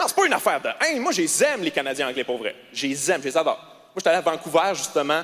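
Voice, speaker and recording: With noticeable background noise, a man speaks in a Quebec accent at a very fast pace. His tone is animated. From Quebec, Quebec City. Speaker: stand-up comedian. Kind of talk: stand-up. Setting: stage with audience.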